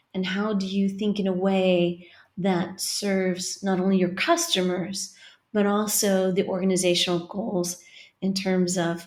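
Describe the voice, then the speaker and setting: At a fairly slow pace, a woman speaks with a Californian accent and a medium pitch. Her intonation is monotone and flat. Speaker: marketing professor. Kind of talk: interview.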